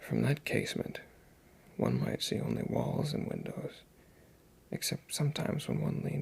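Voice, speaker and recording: A whisper against noticeable background noise. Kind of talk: ASMR story reading. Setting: home recording on USB mic. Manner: soft-spoken.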